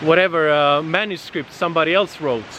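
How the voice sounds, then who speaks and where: At a moderate pace, a man with a non-native accent speaks in a high pitch with fairly even intonation over noticeable background noise. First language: not English. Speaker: vlogger, digital nomad. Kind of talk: casual outdoor vlog monologue. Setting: outdoors in nature. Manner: halting, many fillers.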